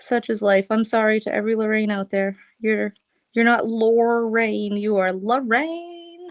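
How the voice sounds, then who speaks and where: An American-accented woman speaks at a fairly slow pace with ordinary pitch variation. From Boston area, US. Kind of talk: live craft tutorial chat. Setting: live stream.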